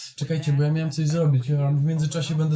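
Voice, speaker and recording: Fairly high-pitched man with a Polish accent, a dark, mellow, somewhat breathy tone and monotone, flat intonation. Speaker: streamer. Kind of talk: casual chat.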